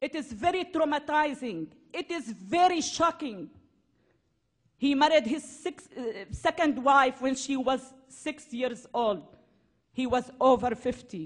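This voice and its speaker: With a high pitch and lively intonation, a woman speaks at a fairly slow pace, leaving long, frequent pauses. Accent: Syrian. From Syria. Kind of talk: public speech.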